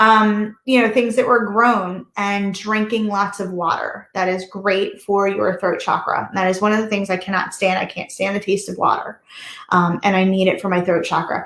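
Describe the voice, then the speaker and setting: Speaking with an American accent, a woman keeps a medium pitch and a moderate pace. Her intonation is monotone and flat, with hardly any pauses. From US, Delaware. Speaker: reiki master and yoga teacher. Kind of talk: online workshop talk. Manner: halting.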